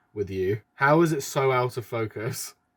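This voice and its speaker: This man has a British accent and a medium pitch. His intonation is lively. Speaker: YouTuber. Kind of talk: reaction video commentary. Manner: casual, self-deprecating.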